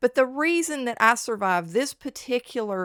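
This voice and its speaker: The intonation is lively, and the sound is dry and close with no echo. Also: woman, very clean recording, silent background. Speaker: chemist and medical technologist. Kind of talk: casual talk to camera. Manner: fast.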